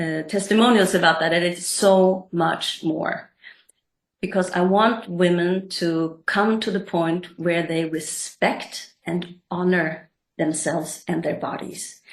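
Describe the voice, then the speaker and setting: A very slow pace with fairly even intonation. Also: woman, fairly low pitch for a woman. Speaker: coach and therapist. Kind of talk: interview.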